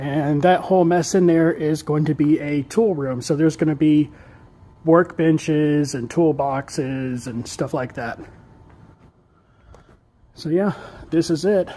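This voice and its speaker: In a dark, mellow tone, a man talks at a fairly slow pace with long, frequent pauses. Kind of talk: casual vlog chat. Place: garage.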